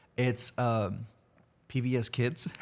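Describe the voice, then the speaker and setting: With a Spanish accent, a man speaks at a very slow pace in a medium-pitched voice. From Mexico, raised in Texas from grade school. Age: 20s. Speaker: guest. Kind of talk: casual interview chat. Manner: clear, concise.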